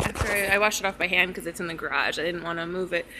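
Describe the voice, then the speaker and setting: Light background noise sits behind a woman's voice. Her tone is bright and sharp, with ordinary pitch variation. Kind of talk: casual vlog chat. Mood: relaxed, slightly stressed. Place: garage. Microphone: phone near.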